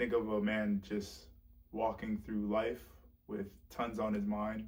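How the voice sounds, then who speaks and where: With an American accent, a man speaks very slowly at a fairly low pitch, keeping his intonation fairly even. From South Florida, Broward County. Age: 20s. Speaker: testimony speaker. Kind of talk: testimony. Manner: halting, with fillers and repeats.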